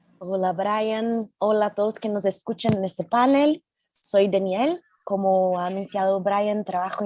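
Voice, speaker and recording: Fairly even intonation in a Brazilian accent, with a dry, close sound and no echo. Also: woman. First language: Portuguese (speaking Spanish). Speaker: tech company safety manager. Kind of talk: panel discussion.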